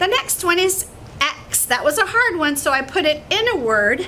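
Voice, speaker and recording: Over noticeable background noise, a woman speaks in a raised, projected voice. Her pace is fairly slow. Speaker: teacher. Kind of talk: address to children. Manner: animated.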